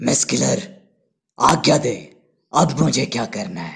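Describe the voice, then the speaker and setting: In a cartoonish character voice, a man speaks raspily at a fairly high pitch and a moderate pace. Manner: arrogant, confident.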